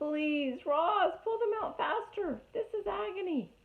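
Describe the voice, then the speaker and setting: In a put-on character voice, a woman sounds squeaky and strained at an extremely high pitch, going at a fairly slow pace. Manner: pained, pleading.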